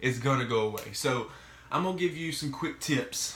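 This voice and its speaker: A man at a moderate pace, with ordinary pitch variation and audible room echo. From Mississippi. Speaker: vlogger sharing mental health experience. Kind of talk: casual vlog monologue. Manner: casual, halting with fillers.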